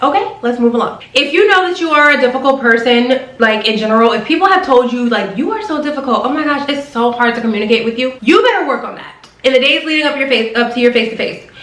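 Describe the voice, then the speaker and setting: Very fast with hardly any pauses, a woman talks in a high pitch with an animated tone and lively intonation. Noticeable background noise and audible room echo surround her. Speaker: flight attendant vlogger. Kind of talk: advice vlog.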